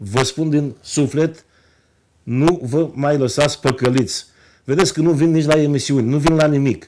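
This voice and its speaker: A man at a fairly high pitch, with ordinary pitch variation, very even loudness and a moderate pace. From Romania, Moldavia region (Bacău county); Moldavia, Romania. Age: 50s. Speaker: politician, member of parliament; politician. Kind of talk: TV interview. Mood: earnest, persuasive. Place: studio.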